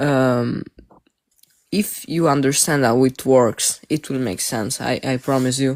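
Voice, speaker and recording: A man with a non-native accent speaks at a fairly slow pace and fairly high pitch, in a dry, close sound with no echo. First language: not English. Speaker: live stream participant. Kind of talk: debate.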